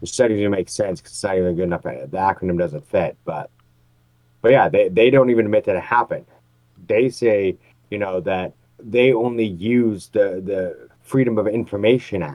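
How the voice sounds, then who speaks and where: In a plain, everyday voice, a man talks at a moderate pace in a fairly low pitch with ordinary pitch variation. His loudness swings a lot. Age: 40s. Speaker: podcast co-host. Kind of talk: casual chat.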